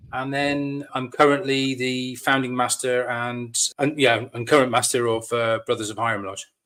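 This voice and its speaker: A man with a West Country accent, medium pitch, a bright, sharp tone, fairly even intonation, a moderate pace and hardly any pauses. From Devon, England. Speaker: lodge master, military veteran. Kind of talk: podcast interview.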